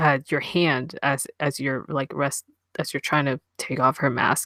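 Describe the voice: A quiet background behind plain reading aloud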